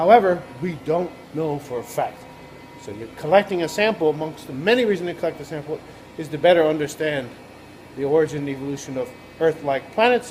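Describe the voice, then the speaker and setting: A man with a fairly high pitch talks at a very fast pace, using lively intonation and long, frequent pauses. Noticeable background noise runs underneath. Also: big swings in loudness. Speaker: professor. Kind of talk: video blog explainer. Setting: laboratory.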